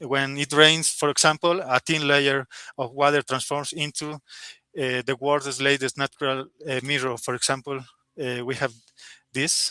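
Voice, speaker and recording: Speaking at a moderate pace with a Spanish accent, a man uses a fairly high pitch, a bright, sharp tone and monotone, flat intonation, in a dry, close sound with no echo. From Bolivia. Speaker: software engineer. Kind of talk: interview. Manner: halting.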